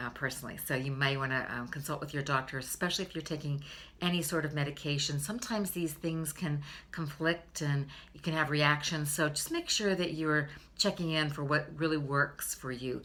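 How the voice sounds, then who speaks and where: Moving at a fairly quick pace, a woman speaks in a very deep, low pitch with a bright, sharp tone and fairly even intonation. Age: 60s. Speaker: beauty and health vlogger. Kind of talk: casual vlog tutorial. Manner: conversational with frequent fillers.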